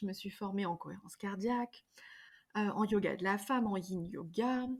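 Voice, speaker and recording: This very clean recording has a silent background. A woman speaks at a medium pitch, somewhat breathy, with ordinary pitch variation. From France, Drôme and Ardèche. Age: 40s. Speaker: yoga teacher and wellness practitioner. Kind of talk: podcast interview. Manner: hesitant, many fillers and repetitions.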